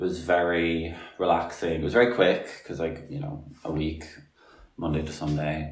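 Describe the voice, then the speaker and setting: An Irish accent at a moderate pace, with audible room echo. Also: man. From Republic of Ireland. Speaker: podcast guest, artist. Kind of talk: casual chat.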